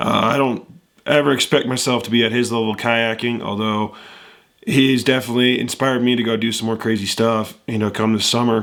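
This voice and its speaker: Monotone and flat, a man's voice moves at a fairly quick pace. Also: medium pitch for a man. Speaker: amateur kayaker reaction youtuber. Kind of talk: casual reaction video chat. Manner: casual with frequent filler uhs.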